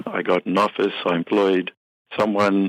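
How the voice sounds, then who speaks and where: A man speaks in a fairly low voice with a South African accent. His pace is moderate, and the sound is dry and close with no echo. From South Africa, Cape Town. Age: 50s. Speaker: business software company head and accountant. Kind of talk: interview.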